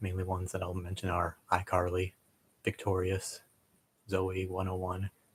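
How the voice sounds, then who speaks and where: In a very clean recording with a silent background, a man speaks with a very deep, low pitch and a somewhat breathy voice. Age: 20s. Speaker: streamer. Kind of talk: casual live stream chat. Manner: fast; quiet, hesitant.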